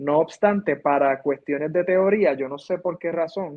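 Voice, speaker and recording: Pitch varies in an ordinary way as the speaker talks fairly slowly. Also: man. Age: 30s. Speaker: musician and music teacher. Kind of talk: interview conversation.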